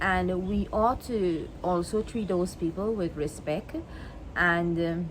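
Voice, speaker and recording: Very slowly and with very even loudness, a woman with a Guyanese accent speaks at medium pitch with fairly even intonation. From Guyana. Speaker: vlogger. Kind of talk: monologue to camera. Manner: halting, many repetitions.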